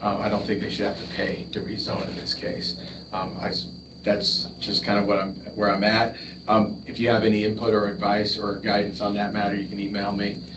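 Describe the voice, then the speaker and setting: Over noticeable background noise and audible room echo, a man talks at a fairly quick pace with a fairly low pitch and ordinary pitch variation. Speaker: town official giving updates. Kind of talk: public meeting report. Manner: fast.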